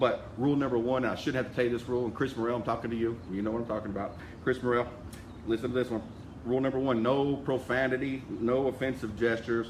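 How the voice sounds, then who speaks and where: A man with a medium pitch talks at a very fast pace. His intonation is monotone and flat. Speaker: insurance sales team leader. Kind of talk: live video address to sales group.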